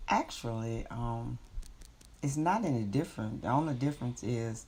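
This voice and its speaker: Speaking at a fairly slow pace, a woman uses a very deep, low pitch with vocal fry and ordinary pitch variation. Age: 60s. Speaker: grandmother interviewed by grandchild. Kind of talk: family interview.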